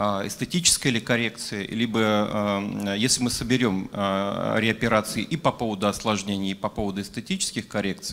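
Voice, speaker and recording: Ordinary pitch variation marks a man's fairly low voice at a moderate pace. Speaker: plastic surgeon. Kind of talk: audience question at panel. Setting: conference hall with audience. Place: hall. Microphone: handheld.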